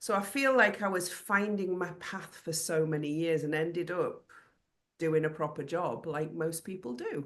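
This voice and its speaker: This woman has a normal speaking voice, fairly low in pitch, with ordinary pitch variation and a moderate pace. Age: 60s. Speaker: creative business consultant and artist. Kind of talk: interview.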